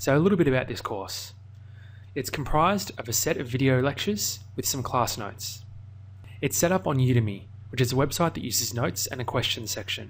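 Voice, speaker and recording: A man with an Australian accent at medium pitch, somewhat breathy, at a fairly quick pace. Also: lively intonation. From Australia, Melbourne. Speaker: online course instructor. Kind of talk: tutorial.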